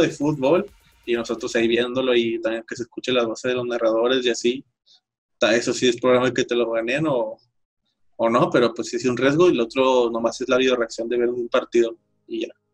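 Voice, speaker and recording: A man talks at a fairly quick pace in a medium pitch, with fairly even intonation. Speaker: sports podcast host. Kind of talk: casual chat.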